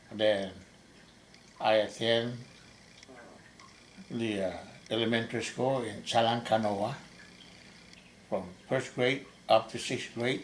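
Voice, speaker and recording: With monotone, flat intonation and long, frequent pauses, a man talks at a fairly slow pace amid audible room echo. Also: medium pitch for a man. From Saipan, Northern Mariana Islands. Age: 70s. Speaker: army veteran. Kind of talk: oral history interview. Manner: halting.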